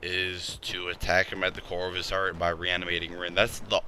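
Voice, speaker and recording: This man's pitch is very deep and low. His tone is bright and sharp. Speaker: anime and manga reviewer. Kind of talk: casual review monologue. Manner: slow; halting.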